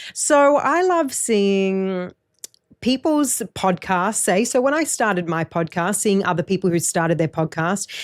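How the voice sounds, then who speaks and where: In a very clean recording with a silent background, a woman with a medium pitch speaks in an animated tone with lively intonation. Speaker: podcast host. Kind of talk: casual chat.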